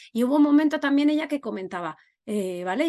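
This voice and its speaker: Against a quiet background, a woman with an ordinary speaking voice talks with lively intonation. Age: 40s. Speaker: podcast host. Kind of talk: casual interview chat.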